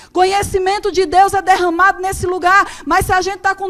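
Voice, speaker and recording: Her pitch is extremely high, and her tone is animated. The woman speaks with a Brazilian accent. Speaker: preacher. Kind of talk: sermon. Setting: church.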